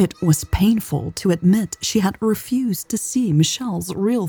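The passage is delivered in a natural reading voice. That natural reading voice holds from start to finish.

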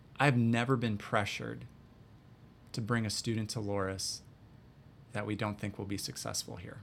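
A man with an American accent speaks at a fairly low pitch with vocal fry and ordinary pitch variation. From US Midwest, north central Wisconsin. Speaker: college admissions director. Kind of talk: interview.

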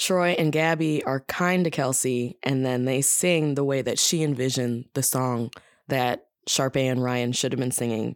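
A woman speaks at a fairly slow pace with very even loudness. Her pitch is very deep and low, with ordinary pitch variation. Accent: American. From Wisconsin. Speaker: improviser and voice actor. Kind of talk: casual chat.

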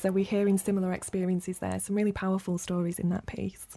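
Against noticeable background noise, a woman with a medium pitch talks at a very fast pace. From Rochdale, northern England. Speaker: podcast host. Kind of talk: podcast interview. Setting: studio.

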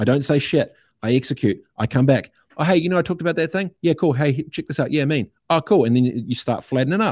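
A man with a New Zealand accent talks at a very fast pace in a fairly high voice with ordinary pitch variation, in a dry, close sound with no echo on a very clean recording with a silent background. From New Zealand (Christchurch, Aranui). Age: 30s. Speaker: entrepreneur and radio host. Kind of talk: casual chat. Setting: studio.

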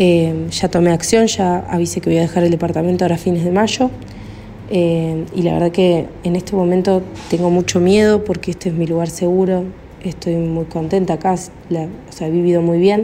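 Fairly low-pitched woman's voice, monotone and flat, at a moderate pace over noticeable background noise. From Argentina, Córdoba. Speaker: caller. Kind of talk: recorded voice message. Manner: hesitant, many fillers.

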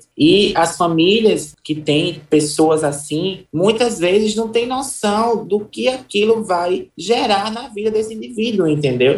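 Talking at a very slow pace with hardly any pauses, a woman uses lively intonation. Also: medium pitch for a woman. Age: 30s. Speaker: journalist and activist. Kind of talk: interview.

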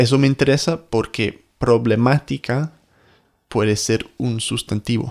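A man with an English accent talks very slowly at a medium pitch and with fairly even intonation, recorded very cleanly in a dry, close space with no echo and a silent background. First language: English (speaking Spanish). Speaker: podcast host, language teacher. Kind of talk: casual chat; scripted intro.

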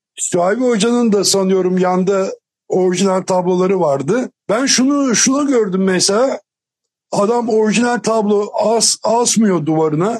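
A man speaks in a high pitch with ordinary pitch variation. His loudness stays very even. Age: 60s. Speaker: panel guest. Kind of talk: panel discussion.

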